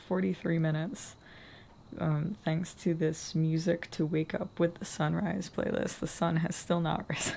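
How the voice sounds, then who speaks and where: Her voice has a dark, mellow tone, a fairly low pitch, fairly even intonation and a somewhat breathy quality, as this woman speaks. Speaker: writing vlogger. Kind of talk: vlog narration.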